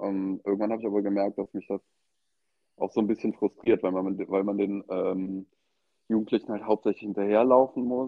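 His pitch is fairly low for a man. The intonation stays monotone and flat. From western Germany, Eschweiler near Aachen. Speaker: tattoo artist. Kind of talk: casual interview. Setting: phone call. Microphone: AirPods and phone.

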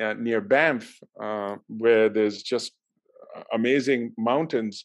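A man is talking. His delivery is extremely slow. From Pakistan. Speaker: university leader. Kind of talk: interview. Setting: video call. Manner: hesitant, many fillers.

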